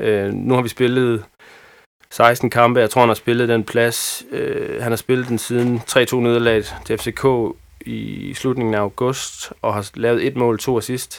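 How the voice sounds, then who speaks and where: Very slowly, a man speaks at a medium pitch in a monotone, flat intonation. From Haderslev area, Southern Jutland, Denmark. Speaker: football fan. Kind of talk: casual chat. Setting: studio. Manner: halting.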